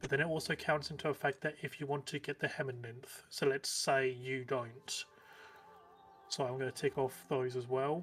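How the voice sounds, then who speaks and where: This man has a British accent and a fairly high pitch. He talks at a moderate pace with monotone, flat intonation. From Britain. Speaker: gaming streamer. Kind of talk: casual chat.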